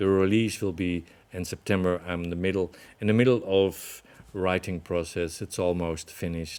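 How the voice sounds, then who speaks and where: With fairly even intonation, a man speaks at a very deep, low pitch. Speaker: spiritual teacher. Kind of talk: webinar talk. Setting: online webinar. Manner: slow.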